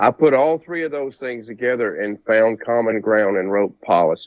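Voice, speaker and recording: Moderately paced male speech, medium in pitch, with ordinary pitch variation. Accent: Southern US. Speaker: presidential candidate. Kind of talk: interview.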